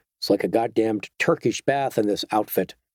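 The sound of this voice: A man with a medium-pitched voice speaks fairly quickly, with a dry, close sound and no echo.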